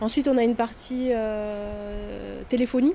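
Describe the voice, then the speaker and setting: Her fairly high voice keeps a fairly even intonation as the woman speaks. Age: 30s. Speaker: network administrator. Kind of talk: interview testimony. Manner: hesitant, many fillers.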